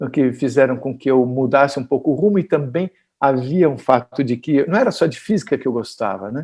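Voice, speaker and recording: With a dark, mellow tone, a man speaks at a fairly high pitch and a moderate pace. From Brazil. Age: 60s. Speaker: physicist. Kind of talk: interview. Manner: halting.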